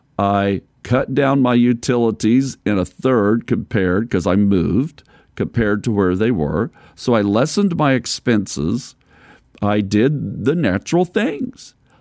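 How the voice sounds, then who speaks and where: A normal speaking voice from a man, medium in pitch and fairly slow, with lively intonation and very even loudness, on a very clean, silent, dry and close recording with no echo. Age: 60s. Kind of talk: sermon.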